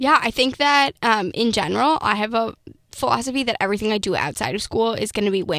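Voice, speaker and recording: A woman with an American accent talks at a fairly quick pace, with vocal fry. Her pitch swings very widely. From Minnesota. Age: 20s. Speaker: student founder of a political consulting firm. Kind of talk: interview.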